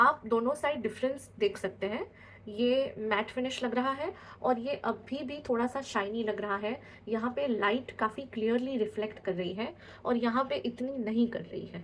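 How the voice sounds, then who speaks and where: Ordinary pitch variation in a woman's fairly high voice. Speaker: makeup artist. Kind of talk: tutorial. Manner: hesitant, frequent fillers in Hindi.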